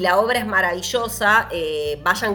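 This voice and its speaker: Noticeable background noise runs under this recording. A woman with a medium pitch speaks in an animated tone. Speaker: podcast host. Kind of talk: casual chat.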